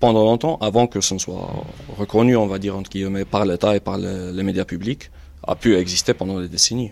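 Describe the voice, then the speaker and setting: A man's fairly low-pitched, plain, everyday voice with fairly even intonation. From Algeria, Batna. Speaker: writer and journalist. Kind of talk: casual chat. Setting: in a car.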